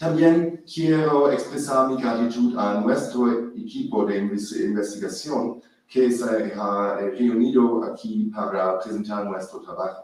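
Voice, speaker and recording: With a non-native accent, a man speaks at a very slow pace with hardly any pauses, using a medium pitch and ordinary pitch variation. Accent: foreign accent in Spanish. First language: not Spanish (speaking Spanish). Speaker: professor of biological anthropology. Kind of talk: academic presentation. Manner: halting.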